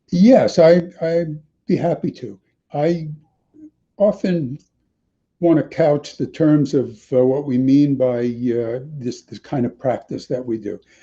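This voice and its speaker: This man's voice is fairly high in pitch, with a dark, mellow tone and ordinary pitch variation. He is somewhat breathy and speaks at a very slow pace. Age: 70s. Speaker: meditation teacher and author. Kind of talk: interview. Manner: halting, many fillers.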